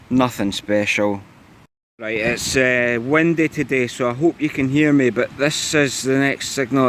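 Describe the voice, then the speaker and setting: A man with a Scottish accent, medium pitch and fairly even intonation. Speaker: metal detecting vlogger. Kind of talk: casual vlog narration. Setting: outdoors in a field. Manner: monotone.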